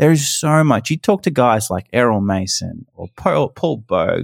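The speaker has an Australian accent and a moderate pace, with very wide pitch swings. The sound is dry and close with no echo, on a very clean recording with a silent background. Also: man. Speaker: hunter and YouTube creator. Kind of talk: casual chat.

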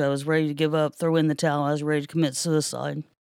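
A woman with an American accent, very deep and low in pitch, flat and monotone, in a very clean recording with a silent background. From US Midwest, Ohio. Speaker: forklift driver sharing testimony. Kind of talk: testimony. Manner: halting.

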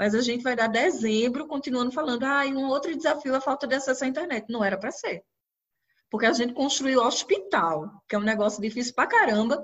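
A woman's high-pitched voice, very fast, with lively intonation. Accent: northeastern Brazilian. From Brazil, Recife (Pernambuco). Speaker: children's rights activist and educator. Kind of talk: interview about research.

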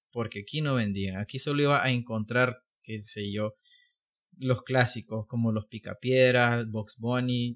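Dry and close with no echo, this very clean recording has a silent background. A medium-pitched man speaks at a very slow pace with fairly even intonation. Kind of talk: casual chat.

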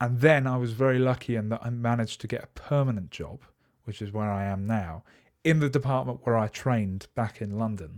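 In a very clean recording with a silent background, a man talks at a fairly quick pace and medium pitch. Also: ordinary pitch variation. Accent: English. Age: 20s. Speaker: camera journalist. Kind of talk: interview.

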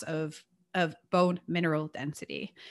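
Against a quiet background, a woman talks in a fairly low pitch with a bright, sharp tone and fairly even intonation. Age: 40s. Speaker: nutrition and strength training coach. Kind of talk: interview.

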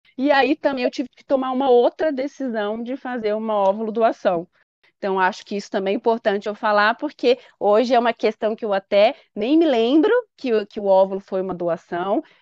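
In a normal speaking voice, a woman talks at a fairly quick pace and a fairly high pitch, with ordinary pitch variation and big swings in loudness, in a dry, close recording with no echo and a quiet background. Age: 30s. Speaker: patient sharing her fertility treatment story. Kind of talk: interview testimony.

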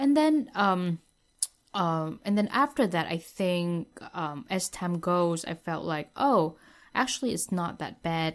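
A woman in a Vietnamese accent at a very slow pace and fairly low pitch, with lively intonation, on a very clean recording with a silent background. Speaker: former international student. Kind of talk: interview.

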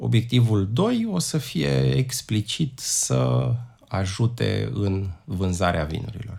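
A man with a fairly low voice talks at a very slow pace, his pitch swinging very widely over noticeable background noise. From Romania, Prahova county. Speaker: wine atlas creator, carpenter, former tour guide. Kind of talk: interview.

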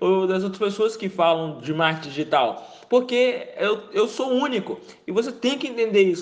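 This man's voice sits high, moving at an unhurried, middling tempo with the usual amount of rise and fall. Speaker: marketing podcast host. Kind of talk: solo tips monologue. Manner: halting, repeats words.

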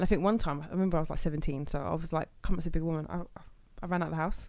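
Speaking with a London accent, a woman rattles along at a very fast pace in a fairly low pitch with fairly even intonation. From London, England. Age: 20s. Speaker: podcast host. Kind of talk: casual chat.

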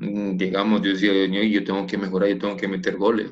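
A man speaking at a moderate pace. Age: 50s. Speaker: former footballer and coach. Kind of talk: interview.

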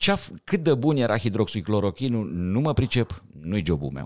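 The pitch swings very widely at a fairly slow pace. The recording is very clean, the background silent. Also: man. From Romania, Bucharest. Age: 60s. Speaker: thoracic surgeon and sci-fi writer. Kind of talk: podcast interview.

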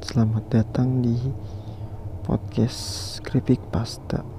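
Very slow speech with long, frequent pauses and noticeable background noise. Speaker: podcast host. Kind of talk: ghost story telling, creepypasta narration read in a hushed, eerie storyteller voice.

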